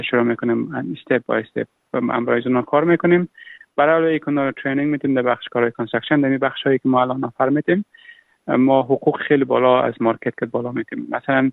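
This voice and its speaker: A medium-pitched male voice holds a fairly even intonation. He speaks at a very fast pace. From Afghanistan. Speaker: refugee entrepreneur. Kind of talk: interview. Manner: halting.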